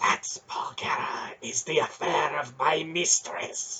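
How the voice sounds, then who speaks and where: In a put-on character voice, someone whispers raspily at a fairly slow pace. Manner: whispering.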